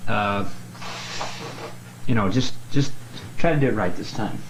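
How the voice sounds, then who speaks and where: The intonation is lively. Noticeable background noise runs throughout. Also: man. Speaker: aspiring actor. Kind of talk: self-critique, casual talk. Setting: bedroom.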